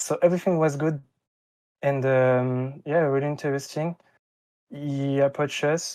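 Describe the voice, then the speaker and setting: A man with a French accent speaks in a monotone, flat way, at a fairly high pitch. His tone is dark and mellow, and he leaves long, frequent pauses. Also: moderate pace. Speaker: esports player. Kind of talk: interview. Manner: halting, many fillers.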